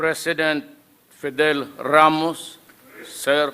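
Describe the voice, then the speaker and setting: This is a man speaking. His voice sits at a fairly high pitch. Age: 70s. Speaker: head of state. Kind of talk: inaugural speech. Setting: formal hall before an audience.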